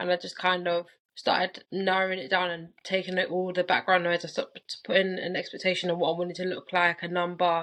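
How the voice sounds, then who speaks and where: In a London accent, a woman with a fairly low pitch speaks very fast in a monotone, flat intonation, with hardly any pauses. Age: 20s. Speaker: coaching client. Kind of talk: interview.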